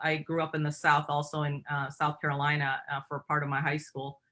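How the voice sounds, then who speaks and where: The voice has a bright, sharp tone and a Michigan accent. The recording is very clean, with a silent background. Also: woman. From Michigan, US. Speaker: company president and CEO. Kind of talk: interview. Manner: halting, many fillers.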